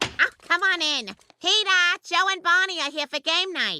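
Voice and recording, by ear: Woman's cartoonish character voice at an extremely high pitch, moderate pace, ordinary pitch variation, in a dry, close sound with no echo.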